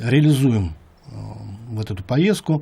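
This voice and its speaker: This man's voice sits at a medium pitch, with a dark, mellow tone and a somewhat breathy quality. He talks at a moderate pace with ordinary pitch variation. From Yakutia, Russia. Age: 60s. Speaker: music producer. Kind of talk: interview monologue. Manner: halting, many fillers.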